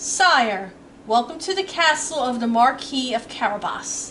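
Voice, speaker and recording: A woman puts on a character voice pitched high. She talks at a moderate pace over clear background noise. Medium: read story. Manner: bold, courtly.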